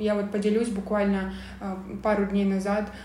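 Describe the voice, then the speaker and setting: In a room with audible echo and noticeable background noise, a woman speaks at a moderate pace with monotone, flat intonation. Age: 20s. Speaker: entrepreneur. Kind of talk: interview.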